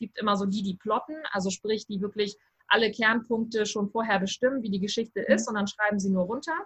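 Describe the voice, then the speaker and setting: A woman speaks at a fairly quick pace. Her voice is fairly high, with fairly even intonation. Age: 30s. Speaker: writing coach. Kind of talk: interview. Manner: halting, many fillers.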